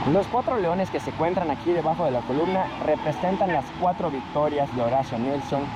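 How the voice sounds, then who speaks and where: A fairly high-pitched man at a fairly quick pace, ordinary pitch variation, noticeable background noise. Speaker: travel vlogger. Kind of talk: travel vlog narration. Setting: outdoors, walking through city. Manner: casual, conversational.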